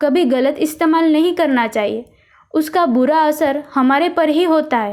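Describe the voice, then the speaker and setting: A woman's high-pitched voice with ordinary pitch variation, on a very clean recording with a silent background. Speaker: voice over artist. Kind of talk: children's moral story narration. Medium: read story.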